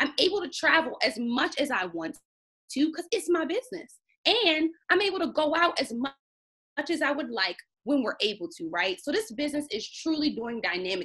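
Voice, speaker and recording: A woman's high, raised and projected voice with an American accent, an animated, bright, sharp tone and very wide pitch swings. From US Mid-Atlantic, Baltimore, Maryland. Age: 20s. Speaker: teacher presenting a business opportunity. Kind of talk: sales pitch.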